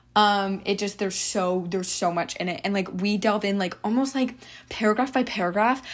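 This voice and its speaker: A woman speaks at a fairly quick pace with a normal speaking voice, medium pitch and ordinary pitch variation. The recording is very clean, with a silent background. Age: young. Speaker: solo podcaster and college student. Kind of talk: casual solo monologue. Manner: rambling, filler-heavy.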